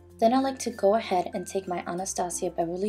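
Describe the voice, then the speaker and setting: Against music in the background, a woman talks at medium pitch and a fairly quick pace. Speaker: beauty vlogger. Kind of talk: makeup tutorial voiceover. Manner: whispered.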